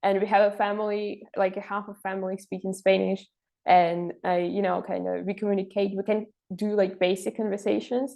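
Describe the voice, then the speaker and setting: A woman with a Russian accent at medium pitch, at a fairly quick pace. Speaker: intern and master's student. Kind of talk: interview. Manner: halting, many fillers.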